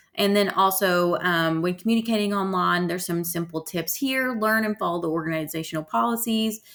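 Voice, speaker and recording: In a normal speaking voice, a woman talks at a fairly quick pace with hardly any pauses, medium pitch and ordinary pitch variation, on a very clean recording with a silent background. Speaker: college instructor. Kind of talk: lecture. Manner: casual, filler-heavy.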